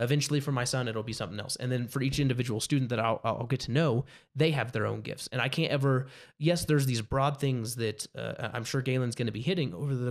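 This very clean recording with a silent background has a man speaking fairly quickly at a medium pitch with fairly even intonation. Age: 20s. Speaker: youth pastor. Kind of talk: interview. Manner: halting.

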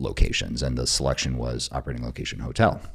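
This man talks at a very fast pace in a very deep, low voice, with vocal fry. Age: 40s. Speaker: military veteran and tech entrepreneur. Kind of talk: casual chat.

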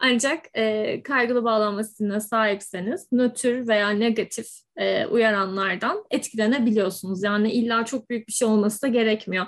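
A woman uses a normal speaking voice, fairly high in pitch, at a fairly slow pace. Her intonation stays fairly even, with hardly any pauses. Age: 20s. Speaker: podcast host, psychology professional. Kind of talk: casual chat.

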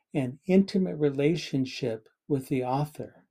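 The tone is dark and mellow, from a man with an American accent. His pitch is fairly high, with ordinary variation. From Southern California, Los Angeles area. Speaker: podcast guest, host's father. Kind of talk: casual interview.

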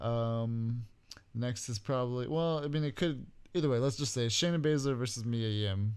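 A man speaks at a moderate pace. His pitch is medium with ordinary variation. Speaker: wrestling commentary podcast co-host. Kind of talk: casual chat. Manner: subdued.

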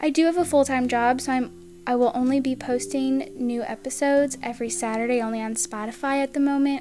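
With an American accent, a woman talks at a fairly quick pace. There is noticeable background noise. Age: 20s. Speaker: podcast host. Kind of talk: scripted introduction monologue.

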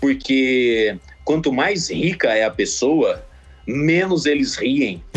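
Very slow delivery with lively intonation and very even loudness. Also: man, fairly high pitch for a man. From Mato Grosso, Brazil (Sinop). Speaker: comedian and video editor. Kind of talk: casual phone interview. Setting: phone call.

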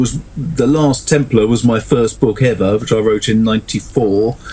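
Somewhat breathy and dark, mellow in tone, a man talks at a fairly slow pace with fairly even intonation. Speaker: author. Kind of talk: casual chat.

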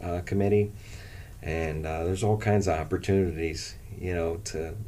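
A man's very deep, low voice with a dark, mellow tone, an American accent and monotone, flat intonation, with audible room echo. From Canton, Ohio (US Midwest). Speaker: college coach and former teacher. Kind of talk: interview. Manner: halting, many fillers.

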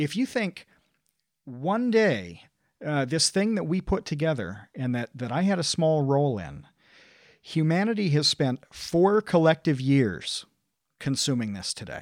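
A man with an American accent and a fairly high pitch talks at a fairly slow pace with very wide pitch swings and long, frequent pauses, in a dry, close, very clean recording with no echo and a silent background. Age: 30s. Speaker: online video creator. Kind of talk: casual chat.

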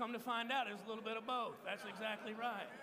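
With an American accent, the voice is raised and projected at a moderate pace, its tone both warm and bright, sharp. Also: man. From Texas. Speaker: pastor. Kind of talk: sermon. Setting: stage with audience. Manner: informal, warm, audience-engaging.

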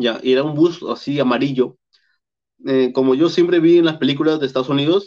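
With ordinary pitch movement, a man talks in a fairly high register. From Peru, Piura (northern coast). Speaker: traveler and YouTuber. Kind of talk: interview.

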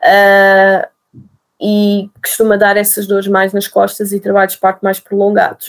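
A woman's medium-pitched voice at a fairly slow pace, monotone and flat, with very even loudness. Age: 30s. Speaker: nurse and mother telling birth story. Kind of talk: interview, personal testimony.

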